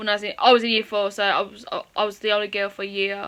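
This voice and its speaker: A woman speaks in an English accent with a fairly high pitch. Her tone is bright and sharp. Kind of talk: personal storytime. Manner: fast; halting.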